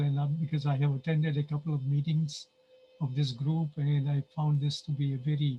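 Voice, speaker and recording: A man speaks at a moderate pace. His intonation stays monotone and flat. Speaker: Sufi interfaith speaker. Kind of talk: talk to a group.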